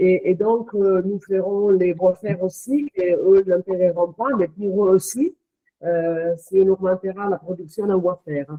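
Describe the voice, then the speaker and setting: A woman with a non-native accent speaks at a medium pitch. She goes at a fairly slow pace with fairly even intonation. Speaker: company executive. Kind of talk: interview. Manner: hesitant, many fillers.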